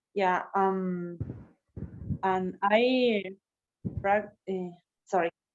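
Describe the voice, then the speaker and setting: A woman speaks at a very slow pace, her pitch in the medium range. Long, frequent pauses break up her fairly even intonation. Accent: Spanish. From Argentina. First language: Spanish. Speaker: teacher and puppeteer. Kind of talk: casual chat. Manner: halting.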